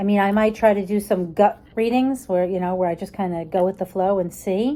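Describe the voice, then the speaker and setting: The voice has a dark, mellow tone and ordinary pitch variation. It moves along at a fairly quick pace. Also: woman. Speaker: tarot card reader / content creator. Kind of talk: casual vlog, showing a new tarot deck. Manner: animated.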